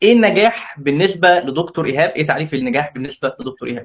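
The speaker is a man with a high-pitched voice. He uses lively intonation. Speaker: interviewer and moderator. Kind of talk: interview. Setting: live stream.

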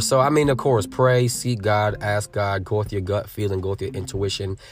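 A man with an American accent speaks in an animated tone at a fairly quick pace, somewhat breathy and fairly low-pitched, with hardly any pauses. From Connecticut, Norwich / New London area. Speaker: speaker, author and faith-based community leader. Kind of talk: casual interview chat. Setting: in person in Connecticut.

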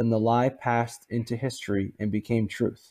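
Against a quiet background, a man with an American accent talks in a dark, mellow tone. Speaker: guest panelist. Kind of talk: political talk show.

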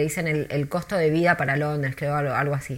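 A woman with an Argentine accent on a very clean recording with a silent background. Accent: Rioplatense Argentine Spanish. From Argentina, Buenos Aires. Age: 40s. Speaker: tour guide. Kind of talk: interview.

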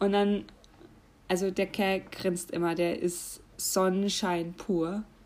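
A woman in a Franconian accent talks at a very slow pace and medium pitch, with monotone, flat intonation and very even loudness. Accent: German regional dialect, Franconian. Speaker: podcast host. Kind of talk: casual solo monologue.

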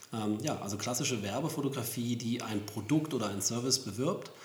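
With audible room echo, a man talks at a medium pitch and a moderate pace, showing ordinary pitch variation. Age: 40s. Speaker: professional photographer, podcast co-host. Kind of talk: casual chat.

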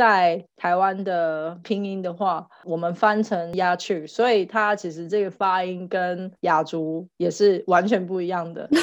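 Against a quiet background, a woman talks at a very slow pace with hardly any pauses. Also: medium pitch for a woman, fairly even intonation. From Taiwan. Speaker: podcast co-host, mother. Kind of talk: casual chat.

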